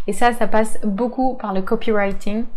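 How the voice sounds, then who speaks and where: This woman's voice has a fairly high pitch and a dark, mellow tone, delivered at a fairly slow pace with fairly even intonation. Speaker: social media marketing coach. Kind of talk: tutorial. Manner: hesitant, many fillers.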